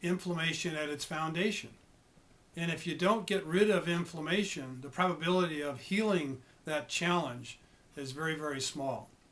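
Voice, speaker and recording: A man speaks with an ordinary speaking voice at a fairly high pitch. His pace is moderate and his intonation fairly even. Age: 60s. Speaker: health coach. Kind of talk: informational monologue. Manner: occasional stumbles and repetitions.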